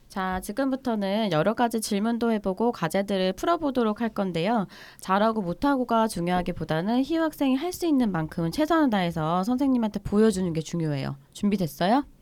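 A woman's medium-pitched voice, fairly quick with hardly any pauses and very wide pitch swings, on a very clean recording with a silent background. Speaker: clinical psychologist. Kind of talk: casual chat, explaining.

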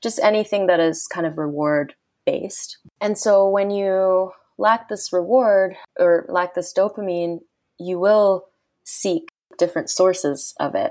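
Using a normal speaking voice, a woman of medium pitch speaks at a fairly slow pace with ordinary pitch variation. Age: 20s. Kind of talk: casual interview.

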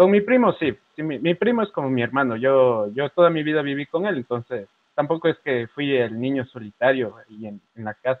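A man talks in a plain, everyday voice, fairly high in pitch, with lively intonation. He keeps a moderate pace with hardly any pauses. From Ecuador. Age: 20s. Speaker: journalist. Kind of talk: casual chat.

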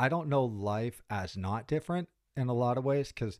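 A man with an American accent has an ordinary speaking voice and ordinary pitch variation. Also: very clean recording, silent background. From US, Pittsburgh, Pennsylvania. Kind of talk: podcast interview.

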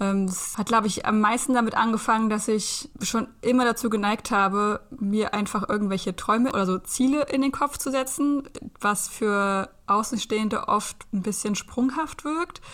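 At a moderate pace with hardly any pauses, a woman speaks in a fairly high pitch, with ordinary pitch variation and an unremarkable speaking voice. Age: 30s. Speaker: aspiring Reiki practitioner and van traveller. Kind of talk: casual interview.

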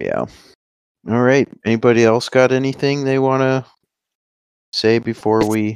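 Pausing long and often, a man talks at a moderate pace in a monotone, flat intonation at a medium pitch. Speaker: podcast host. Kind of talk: casual sports chat, mock draft.

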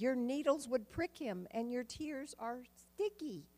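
A woman's high voice at a fairly slow pace. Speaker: church member. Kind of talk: reading aloud. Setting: church.

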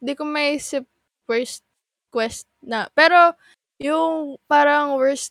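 A woman talks at a very slow pace with ordinary pitch variation. The sound is dry and close, with no echo. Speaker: podcast manager and guest. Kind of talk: casual chat.

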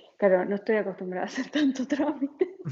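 With an Argentine accent, a woman speaks in very wide pitch swings. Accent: Argentine Spanish (voseo). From Argentina, San Juan. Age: 40s. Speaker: emigrant sharing her experience. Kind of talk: interview, casual conversation.

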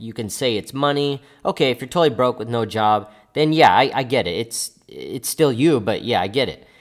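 The recording is very clean with a silent background as a man talks at a moderate speed. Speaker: podcast host, personal finance teacher. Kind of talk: pep talk, motivational personal finance monologue. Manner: earnest, emphatic, repeating key phrases for punch; casual, conversational, direct address to listeners.

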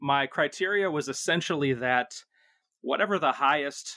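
Lively intonation runs through speech at a moderate pace. The sound is dry and close with no echo, in a very clean recording against a silent background. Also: man. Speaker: rock radio and podcast host. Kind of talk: casual chat.

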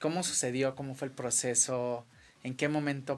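An unremarkable speaking voice, this man talks at a fairly quick pace and medium pitch with ordinary pitch variation, on a very clean recording with a silent background. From Mexico, Acapulco. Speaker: radio show host. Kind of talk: casual interview. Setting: studio.

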